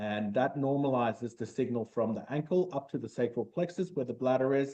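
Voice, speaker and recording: With an Australian accent, a man speaks at a medium pitch. His pace is fairly quick. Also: ordinary pitch variation. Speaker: medtech startup founder. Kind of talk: interview.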